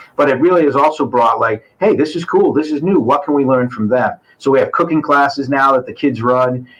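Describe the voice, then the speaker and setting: The speech moves at a fairly quick pace with ordinary pitch variation and hardly any pauses. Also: man, fairly high pitch for a man. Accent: New England. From Massachusetts, New Bedford. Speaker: school administrator. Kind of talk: casual interview chat.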